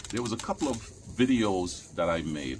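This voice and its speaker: A man talks fairly slowly. His voice sits fairly low. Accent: Caribbean. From Caribbean. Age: 60s. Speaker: YouTuber, vlogger. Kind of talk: casual vlog monologue. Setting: outdoors in backyard.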